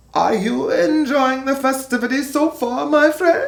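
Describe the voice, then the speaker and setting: A put-on character voice with a high pitch delivers its lines at a moderate pace. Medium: read story.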